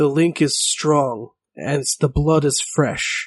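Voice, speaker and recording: A man does a put-on character voice, pitched fairly high for a man and delivered at a very slow pace. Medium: actual play. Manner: terse, solemn, cryptic.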